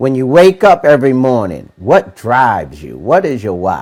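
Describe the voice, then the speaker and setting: Lively in intonation and animated in tone, this man talks at a medium pitch. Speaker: motivational podcast host. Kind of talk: motivational talk. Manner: animated, repetitive emphasis.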